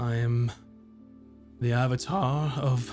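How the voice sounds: A man puts on a booming character voice at a medium pitch with fairly even intonation. Music plays in the background.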